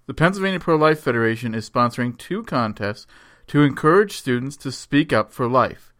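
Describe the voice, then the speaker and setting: Over a very clean recording with a silent background, a man uses a normal speaking voice at medium pitch, speaking fairly quickly with lively intonation. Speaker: radio host and education director of a pro-life organization. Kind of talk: scripted radio announcements.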